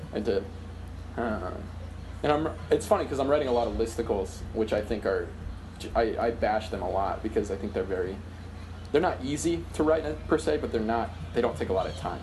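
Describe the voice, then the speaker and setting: With lively intonation and a fairly low pitch, a man talks at a fairly quick pace, somewhat breathy, with long, frequent pauses and audible room echo. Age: 20s. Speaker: comedy writer and sketch performer. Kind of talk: casual chat. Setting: video call.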